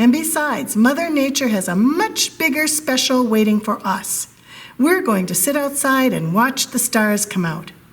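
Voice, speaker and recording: A woman's put-on character voice, high in pitch. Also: moderate pace. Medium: read story.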